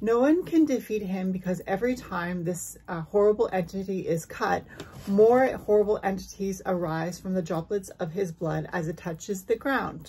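Over light background noise, a woman speaks at a moderate pace in a dark, mellow, somewhat breathy tone with ordinary pitch variation. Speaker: spiritual content creator. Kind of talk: storytelling vlog. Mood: calm, dramatic storytelling. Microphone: phone near.

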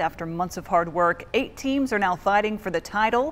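An ordinary speaking voice from a woman at medium pitch and a fairly quick pace, with ordinary pitch variation and light background noise. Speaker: TV news anchor and reporter. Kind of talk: local TV newscast anchor delivery. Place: studio. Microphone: lapel.

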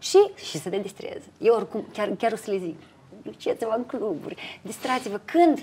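Her voice has a dark, mellow tone, and this woman's pitch swings very widely. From Moldova. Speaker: TV presenter and entrepreneur; TV presenter. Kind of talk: interview. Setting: restaurant terrace. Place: bar.

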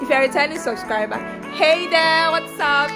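Loud music plays in the background. Over it, a woman speaks. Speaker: vlogger. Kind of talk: casual vlog chat. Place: home room. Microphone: phone near.

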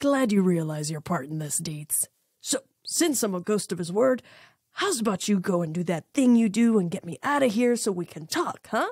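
In a put-on character voice, a female-sounding speaker at a middle pitch drawls gruffly at a moderate pace. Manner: gruff, drawling, sarcastic; panicky, rising into screams.

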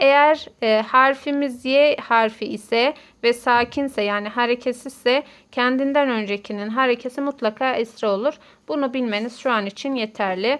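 A woman speaks with a high pitch and fairly even intonation. Her pace is fairly slow. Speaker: Arabic teacher. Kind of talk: tutorial.

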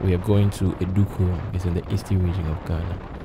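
The speech comes at a moderate pace over noticeable background noise, with a dry sound and no echo. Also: man. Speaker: motorcycle vlogger. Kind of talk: casual vlog intro. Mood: friendly, upbeat.

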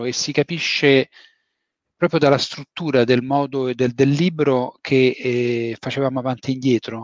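At a moderate pace, the voice sounds dry with no echo against a quiet background. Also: man. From Rome, Italy; Italy. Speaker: novelist. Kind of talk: book talk interview. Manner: halting. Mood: relaxed, reflective. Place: home room. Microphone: headset.

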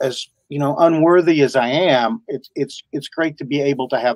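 In an American accent, a man talks with lively intonation at a fairly high pitch. The sound is dry with no echo, over a quiet background. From US South. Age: 60s. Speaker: voice actor. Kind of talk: interview. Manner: halting. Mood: warm, grateful. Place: home room. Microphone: video call.

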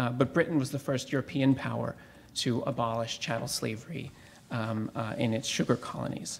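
A man's medium-pitched voice with vocal fry, fairly even intonation and a fairly quick pace. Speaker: academic historian. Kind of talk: academic conference talk. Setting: symposium with audience. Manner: hesitant, many fillers.

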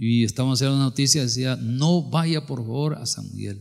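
Against a quiet background, a man speaks at a moderate pace in an animated, somewhat breathy tone. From El Salvador. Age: 60s. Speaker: pastor. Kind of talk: sermon. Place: church. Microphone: handheld.

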